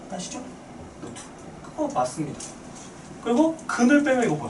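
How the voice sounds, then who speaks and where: The voice moves at a very fast pace with very wide pitch swings. Noticeable background noise and audible room echo are present. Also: man. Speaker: math teacher. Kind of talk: lecture.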